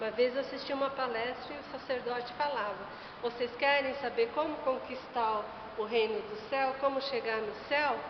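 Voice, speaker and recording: In a room with audible echo and noticeable background noise, a woman speaks at a moderate pace and high pitch with fairly even intonation. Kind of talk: religious talk.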